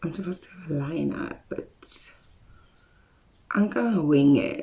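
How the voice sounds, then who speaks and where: A woman's voice with very wide pitch swings at a fairly slow pace, amid noticeable background noise. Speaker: beauty vlogger. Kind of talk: casual haul video chat.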